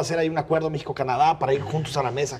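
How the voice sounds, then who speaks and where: The speaker is a man. His voice sits at a fairly high pitch. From Mexico. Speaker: political commentator. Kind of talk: panel debate; televised debate argument. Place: studio. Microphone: lapel.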